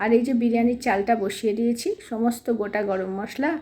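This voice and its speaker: This woman is soft-spoken. Her pitch sits fairly high. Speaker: family vlogger. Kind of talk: casual vlog narration. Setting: at home.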